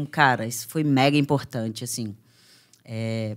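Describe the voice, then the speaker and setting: This woman talks at a moderate pace, the background quiet. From Brazil, Minas Gerais. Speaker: MMA fighter; podcast guest. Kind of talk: casual interview. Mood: serious, reflective personal story. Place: studio. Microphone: studio mic.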